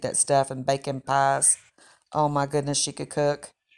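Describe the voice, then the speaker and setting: Speaking in an Appalachian accent, a woman with a very deep, low pitch talks at a moderate pace with monotone, flat intonation. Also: very clean recording, silent background. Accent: Appalachian Southern US. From West Virginia, Clay County (Appalachia). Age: 60s. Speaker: cooking channel host and storyteller. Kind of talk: personal storytelling.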